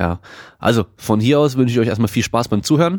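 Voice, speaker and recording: A man talks fairly quickly in a normal speaking voice, with ordinary pitch variation. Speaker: fitness podcast host. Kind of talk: casual podcast interview. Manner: casual, many filler words.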